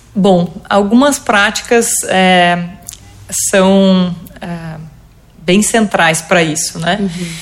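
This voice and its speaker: A woman at a very slow pace, long and frequent pauses, ordinary pitch variation, and noticeable background noise. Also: medium pitch for a woman. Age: 30s. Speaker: entrepreneur, co-founder and CEO of a business community. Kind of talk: interview.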